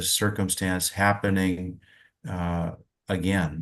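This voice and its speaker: Against a quiet background, a man with a General American accent speaks at a very slow pace in a very deep, low pitch. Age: 60s. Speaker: climate policy expert. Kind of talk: panel discussion. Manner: halting, many fillers and repetitions.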